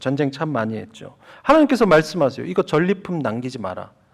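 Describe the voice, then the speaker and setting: A man is speaking. His pitch swings very widely. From Gyeongsang region, South Korea. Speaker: pastor. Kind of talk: sermon. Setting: church.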